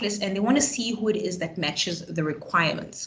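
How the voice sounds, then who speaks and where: Lively intonation from a woman with a fairly high pitch, over noticeable background noise. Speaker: career advisor. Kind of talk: webinar presentation. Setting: online webinar. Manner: fast.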